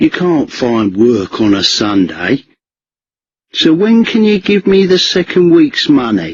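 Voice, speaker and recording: A man in a put-on character voice, high in pitch and fairly slow in pace. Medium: read story. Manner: blunt, demanding.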